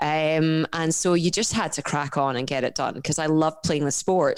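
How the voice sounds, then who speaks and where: A Scottish accent in a very clean recording with a silent background. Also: woman. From Scotland. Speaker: professional endurance athlete and coach. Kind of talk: podcast interview. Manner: animated.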